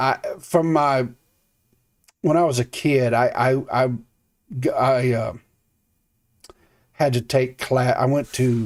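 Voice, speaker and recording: Speaking at a very slow pace with long, frequent pauses, a man keeps a medium pitch, fairly even intonation and very even loudness. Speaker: podcast co-host. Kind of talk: casual chat. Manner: halting.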